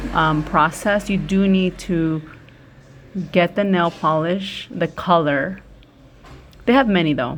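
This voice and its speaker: Speaking in a Spanish accent at a very slow pace, a woman has a fairly low pitch. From United States, Spanish-speaking immigrant family. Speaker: YouTuber. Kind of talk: casual chat during a nail tutorial.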